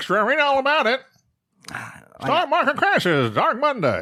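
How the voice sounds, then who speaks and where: A speaker uses a put-on character voice with a high pitch. The pace is moderate. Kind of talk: old-timey, period. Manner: hawking, shouting headlines.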